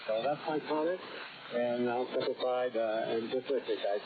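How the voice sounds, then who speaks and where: Background noise is noticeable. Through it comes a man's voice. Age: 80s+. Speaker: retired aerospace engineer, amateur radio operator. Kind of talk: ham radio roundtable chat. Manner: halting, many fillers.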